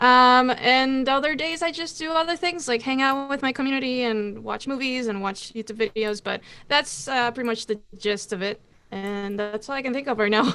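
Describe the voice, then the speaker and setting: At a moderate pace, a woman speaks in a high-pitched, bright, sharp tone. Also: ordinary pitch variation. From Costa Rica. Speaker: drummer and Twitch streamer. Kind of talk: casual interview chat.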